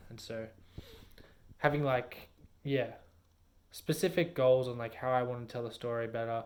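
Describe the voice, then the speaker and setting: A man's medium-pitched voice holds fairly even intonation. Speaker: vlogger and aspiring storyteller. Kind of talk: casual vlog monologue. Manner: monotone.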